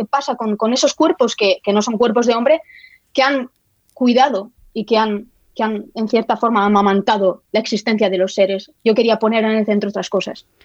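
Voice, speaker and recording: A woman's fairly high-pitched voice at a moderate pace, fairly even in intonation, with a dry, close sound and no echo. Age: 30s. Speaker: historian and writer. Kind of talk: interview. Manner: halting, many repetitions.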